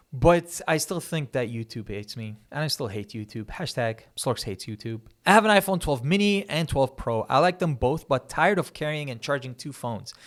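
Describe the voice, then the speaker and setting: A man with a non-native accent speaks fairly quickly with hardly any pauses. His fairly high pitch moves in very wide swings. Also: very clean recording, silent background. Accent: foreign accent in English, praised as good. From Kuwait. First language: Arabic. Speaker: tech YouTuber. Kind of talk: Q&A answering viewer questions. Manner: fast.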